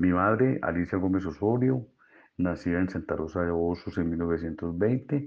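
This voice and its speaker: With an Antioquian accent, a man talks at a fairly slow pace in a very deep, low pitch, his intonation lively. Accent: Colombian paisa Spanish. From Colombia, Medellín (Antioquia). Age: 60s. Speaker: physician. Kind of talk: interview monologue.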